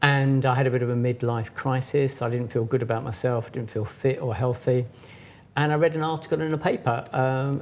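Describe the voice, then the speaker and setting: A man at a fairly quick pace, medium-pitched and somewhat breathy, with fairly even intonation. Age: 60s. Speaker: yoga teacher, festival founder. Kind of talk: interview.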